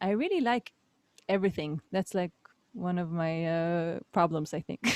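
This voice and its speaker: Speaking fairly slowly with an Israeli accent, a woman with a fairly low pitch leaves long, frequent pauses in a dry, close sound with no echo. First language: Hebrew. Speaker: musician. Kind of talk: casual chat. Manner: halting.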